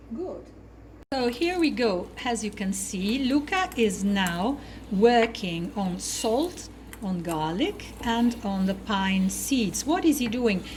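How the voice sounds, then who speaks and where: With noticeable background noise and audible room echo, a woman speaks very slowly in a Neapolitan accent, her pitch swinging very widely. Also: fairly high pitch for a woman. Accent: Italian (Neapolitan) accent in English. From Naples, southern Italy. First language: Italian. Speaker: cooking show co-host. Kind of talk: cooking demonstration. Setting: kitchen.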